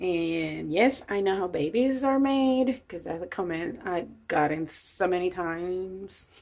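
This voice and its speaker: In a Puerto Rican accent, a woman talks at a fairly slow pace, with hardly any pauses. Her medium-pitched voice has lively intonation. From Puerto Rico. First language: Spanish. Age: 50s. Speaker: vlogger. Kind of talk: casual chat.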